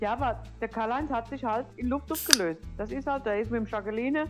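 Music plays in the background as a woman speaks. She keeps a fairly quick pace with ordinary pitch variation. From Palatinate, Germany. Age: old. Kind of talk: casual gameplay commentary. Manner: chatty.

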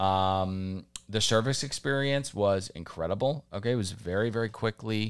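On a very clean recording with a silent background, a man uses an ordinary speaking voice, fairly low in pitch with ordinary variation, at a moderate pace and very even loudness. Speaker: comedy podcast host. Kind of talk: casual chat.

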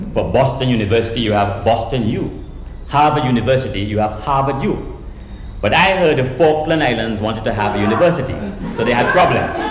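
In a Trinidadian accent, a man talks at a fairly quick pace with ordinary pitch variation, light background noise and audible room echo. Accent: Caribbean, Trinidadian. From Trinidad and Grenada. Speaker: storyteller. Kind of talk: live storytelling show to an audience. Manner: humorous, conversational. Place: stage.

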